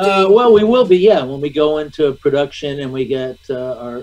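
The man's intonation is lively, and his pace is moderate. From US Midwest, Michigan. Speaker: actor. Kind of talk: interview. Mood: animated storytelling. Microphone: video call.

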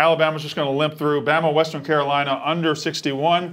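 In a Southern US accent, a man speaks at a very fast pace with monotone, flat intonation over light background noise. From Mississippi. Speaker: sports betting analyst. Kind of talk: sports talk show. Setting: studio. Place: studio. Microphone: lapel.

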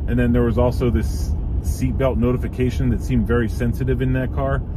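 Very fast, a man speaks in a dry sound with no echo and noticeable background noise. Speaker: car owner vlogger. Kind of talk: casual vlog chat. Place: car.

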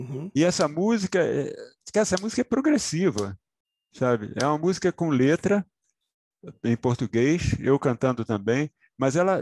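Against a quiet background, a man speaks at a fairly slow pace with very wide pitch swings, the sound dry with no echo. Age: 70s. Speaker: musician; interviewee. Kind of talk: interview. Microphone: headset.

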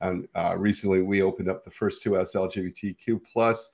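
The man's pitch varies in an ordinary way, and the background is quiet. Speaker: podcast host. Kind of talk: podcast intro. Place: home room. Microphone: video call.

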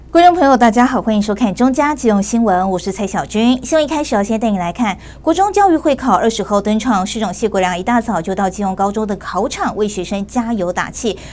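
A woman talks at a very fast pace. She leaves hardly any pauses. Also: fairly high pitch for a woman, lively intonation. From Taiwan. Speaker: news anchor. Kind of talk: news reading. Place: studio. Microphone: lapel.

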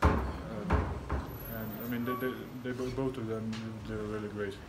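A man at a fairly slow pace, with ordinary pitch variation over loud background noise. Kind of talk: interview answer. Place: hall. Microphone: phone near.

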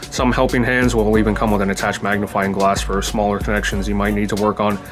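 A man talks at a very fast pace with clear music playing in the background. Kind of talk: tutorial. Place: workshop.

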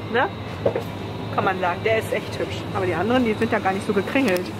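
Over clear background noise, a woman talks at a fast pace, her medium pitch showing ordinary pitch variation.

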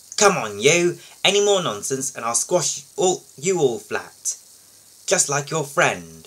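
This put-on character voice growls at a fairly slow pace. Its pitch swings very widely, and long pauses come often. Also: man, fairly high pitch for a man. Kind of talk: reading a storybook aloud. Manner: fierce, growling.

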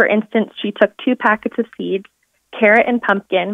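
A woman with a plain, everyday voice talks at a moderate pace in a fairly high pitch, her intonation fairly even. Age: 20s. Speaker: embryo adoptee and co-author. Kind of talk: reading aloud. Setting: phone call.

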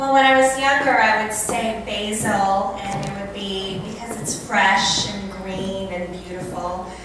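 A woman's fairly slow speech with ordinary pitch variation and big swings in loudness, in strong room echo amid noticeable background noise. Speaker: food entrepreneur and event host. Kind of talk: live storytelling monologue. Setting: live event, country club. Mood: warm, enthusiastic.

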